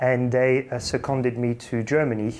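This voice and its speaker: A slight French accent, dark and mellow in tone, at a moderate pace with monotone, flat intonation. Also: man. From England. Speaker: finance executive. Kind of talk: interview.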